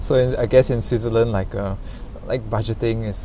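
The man talks at a fairly quick pace. Audible room echo surrounds his voice. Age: 20s. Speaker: podcast host. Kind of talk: casual chat; podcast outro.

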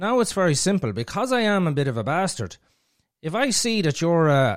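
A man with an Irish accent speaks with very wide pitch swings. The recording is very clean and the background silent. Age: 40s. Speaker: podcaster. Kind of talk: casual chat.

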